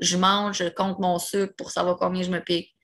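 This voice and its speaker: The woman speaks at a medium pitch. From Quebec, Repentigny. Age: 20s. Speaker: person living with multiple sclerosis. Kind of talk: casual interview conversation.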